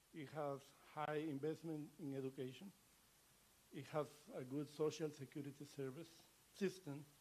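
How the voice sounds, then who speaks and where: A man with a Latin American accent talks at a moderate pace with long, frequent pauses. His fairly high voice keeps a monotone, flat intonation. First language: Spanish. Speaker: ambassador. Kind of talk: formal speech. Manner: halting.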